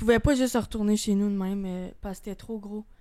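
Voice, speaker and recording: This woman has a Quebec accent and a dark, mellow tone at a medium pitch. She talks at a moderate pace with monotone, flat intonation. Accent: Québécois French. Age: 20s. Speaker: guest sharing suicide attempt story. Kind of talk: testimony. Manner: casual.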